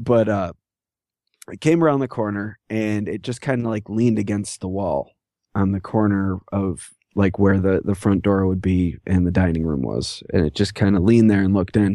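A man with an American accent, fairly low pitch and a dark, mellow tone at a moderate pace, dry and close with no echo over a quiet background. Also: ordinary pitch variation. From New York. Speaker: fellow podcaster. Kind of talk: casual chat. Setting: video call.

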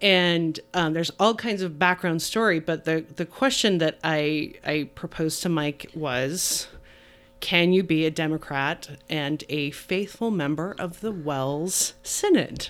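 A woman speaks in a plain, everyday voice at a fairly low pitch. Her pace is fairly slow, with ordinary pitch variation. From Utah. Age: 40s. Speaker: church member and social services advocate. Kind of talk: casual chat.

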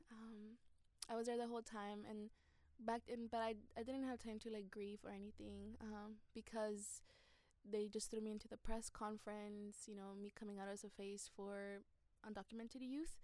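A woman with a fairly high pitch and a dark, mellow tone speaks in a monotone, flat intonation at a moderate pace. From Guatemala, raised in Los Angeles. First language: Spanish. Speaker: immigrant rights activist. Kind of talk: interview.

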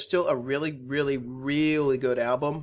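The voice is an unremarkable speaking voice. It moves at a moderate pace. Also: man, very clean recording, silent background. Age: 20s. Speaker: music podcast co-host. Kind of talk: casual chat.

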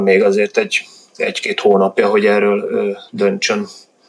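A man keeps a moderate pace as noticeable background noise runs through the clip. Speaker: Poland researcher. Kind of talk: interview answers about football.

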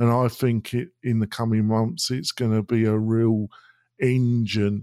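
A man of medium pitch with an English accent, fairly even intonation, a fairly slow pace, and a dry, close sound with no echo. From Britain. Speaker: web design and e-learning business owner. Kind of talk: podcast interview. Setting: studio.

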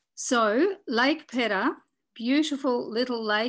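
A woman's high voice with an Australian accent, ordinary pitch variation and a very slow pace, in a very clean recording with a silent background. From Tasmania, Australia. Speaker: former politician and conservationist. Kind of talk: interview.

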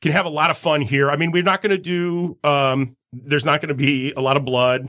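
A man, fairly high-pitched, very fast, with ordinary pitch variation. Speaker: podcast host and event organizer. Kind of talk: casual chat. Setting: studio.

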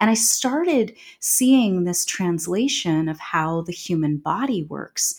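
A woman with an unremarkable speaking voice, fairly low in pitch, speaks with lively intonation. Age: 40s. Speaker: transformation and intuitive guide. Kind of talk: casual interview.

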